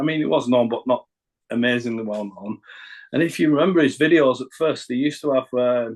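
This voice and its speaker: Here a man speaks with a Northern English accent at a fairly quick pace. His pitch variation is ordinary. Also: medium pitch for a man. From northern England. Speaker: rapper. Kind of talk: interview. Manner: halting.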